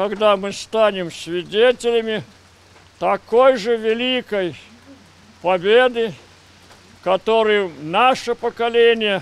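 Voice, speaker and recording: Speech moves at a very slow pace with long, frequent pauses. Pitch varies in an ordinary way, and the sound is dry with no echo. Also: man, high pitch for a man. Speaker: war veteran. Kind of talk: speech at ceremony. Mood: solemn, dignified. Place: street.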